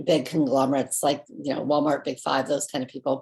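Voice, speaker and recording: A woman with an American accent, her pitch very deep and low, her tone dark and mellow. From Southern California. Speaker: company founder. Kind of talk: personal story. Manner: halting.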